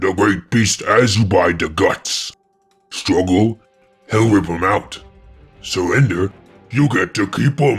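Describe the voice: A man puts on a menacing character voice, fairly low in pitch, with faint music in the background. He goes at a fairly slow pace with long, frequent pauses.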